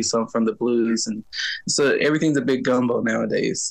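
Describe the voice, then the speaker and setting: A man talks with an American accent in a normal speaking voice. His pitch is medium and his pace fairly quick. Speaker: singer and music teacher. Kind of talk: interview.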